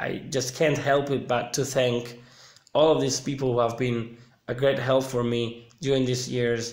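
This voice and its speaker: Amid audible room echo, a man with a Sicilian accent talks at a fairly slow pace in monotone, flat intonation. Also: medium pitch for a man. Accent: Italian (Sicilian) accent in English. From Sicily, Palermo. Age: 30s. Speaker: vlogger. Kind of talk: casual livestream chat.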